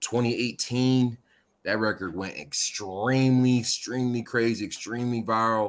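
In an ordinary speaking voice, a man with an American accent speaks at a fairly slow pace with fairly even intonation and medium pitch, on a very clean recording with a silent background. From Connecticut, US. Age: young. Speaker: music producer and youth coach. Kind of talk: casual interview.

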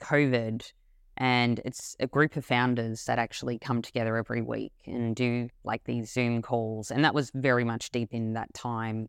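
The speaker has an Australian accent and a moderate pace, against a quiet background. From Australia, Melbourne. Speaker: brand CEO and co-founder. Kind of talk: interview.

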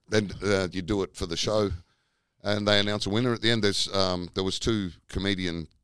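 With an Australian accent, a man speaks at a moderate pace in a very deep, low voice, recorded very cleanly against a silent background. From Tasmania, Australia. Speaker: comedian. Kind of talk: casual chat.

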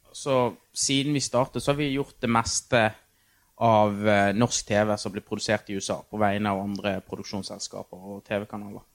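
On a very clean recording with a silent background, a man speaks in a plain, everyday voice with a fairly low pitch at a moderate pace. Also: fairly even intonation, dry, close sound with no echo. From Norway, Bergen (Fyllingsdalen). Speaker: TV producer. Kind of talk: casual chat. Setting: backstage at a venue.

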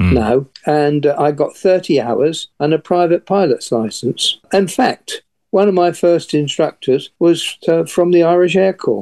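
A man with an English accent speaks at a high pitch in a dark, mellow tone, with ordinary pitch variation and hardly any pauses. His loudness stays very even, and the sound is dry and close with no echo. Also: fairly slow pace. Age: 80s. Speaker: retired airline pilot. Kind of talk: interview recounting past events. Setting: radio interview.

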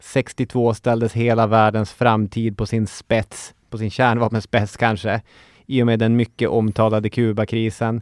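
Over a very clean recording with a silent background, a man speaks at a fairly slow pace and medium pitch with monotone, flat intonation, the sound dry and close with no echo. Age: 30s. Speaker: history podcast host. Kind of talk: scripted narration.

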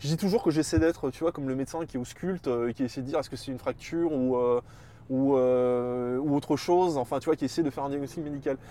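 A fairly high-pitched man's voice with a dark, mellow tone, a Parisian accent, fairly even intonation and a very fast pace. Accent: pronounced Parisian. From Paris, Montparnasse. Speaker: political science researcher. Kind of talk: casual interview chat. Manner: hesitant, many repetitions and fillers.

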